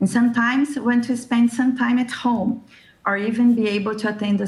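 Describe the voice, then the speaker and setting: A woman's somewhat breathy voice with a Brazilian accent, at a moderate pace with ordinary pitch variation. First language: Brazilian Portuguese. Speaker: discussion circle host and translator. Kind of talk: prepared talk. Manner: scripted, steady pace.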